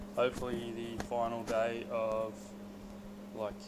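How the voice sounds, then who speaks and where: Loud background noise behind a man's fairly slow delivery. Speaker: hobby fabricator. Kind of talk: casual DIY build vlog talk to camera. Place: garage. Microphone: phone near.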